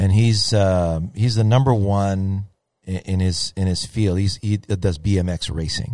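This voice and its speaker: On a very clean recording with a silent background, a man speaks. His pitch is fairly low, with ordinary pitch variation. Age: 50s. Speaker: golf podcast host. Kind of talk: casual chat. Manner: animated.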